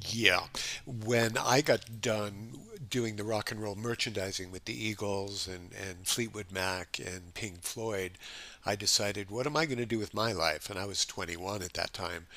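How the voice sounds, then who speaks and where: A man with a fairly low pitch and a bright, sharp tone speaks at a moderate pace with ordinary pitch variation, on a very clean recording with a silent background. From Los Angeles, California. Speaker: chef and metabolic health specialist. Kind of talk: casual interview chat.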